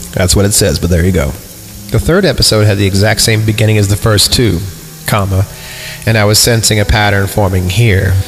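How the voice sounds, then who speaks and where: With music in the background, a man with a fairly low pitch talks in an animated tone at a fairly quick pace with very even loudness. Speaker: creepypasta reader and reactor. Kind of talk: horror story reading with comedic reactions. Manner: animated, irreverent, swears and jokes.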